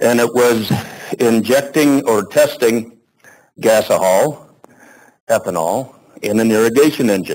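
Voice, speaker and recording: Speaking with a Midwestern US accent, a man keeps his loudness very even at a fairly slow pace, broken by long, frequent pauses. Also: medium pitch for a man, ordinary pitch variation. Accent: US Midwest. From Nebraska. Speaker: renewable energy advocate, speaker. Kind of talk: lecture.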